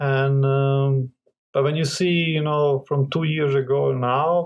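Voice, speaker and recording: Very slowly and in a non-native accent, a man speaks at a fairly high pitch with monotone, flat intonation and very even loudness. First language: not English. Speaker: crypto investment group partner. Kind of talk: casual interview. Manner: halting, many fillers.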